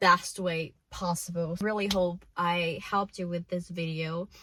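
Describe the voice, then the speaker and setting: Delivered at a very slow pace, the speech has a monotone, flat intonation. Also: woman. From Brazil. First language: Portuguese. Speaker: self-improvement vlogger. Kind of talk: casual vlog monologue. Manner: emotional.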